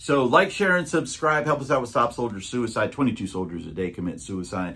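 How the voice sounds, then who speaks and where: Lively intonation carries the speech along at a fairly quick pace. Noticeable background noise runs underneath. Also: man. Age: 60s. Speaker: YouTube reseller channel co-host. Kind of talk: casual chat.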